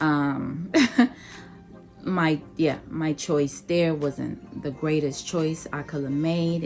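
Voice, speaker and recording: Music plays in the background as a woman with a very deep, low pitch speaks at a very slow pace with fairly even intonation. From Nigeria. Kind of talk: casual talk to camera.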